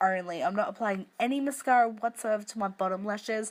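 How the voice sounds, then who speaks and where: In a very clean recording with a silent background, a woman with an Australian accent speaks at a fairly high pitch with ordinary pitch variation. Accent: Australian, broad. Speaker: makeup tutorial youtuber. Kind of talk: tutorial. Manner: casual, chatty.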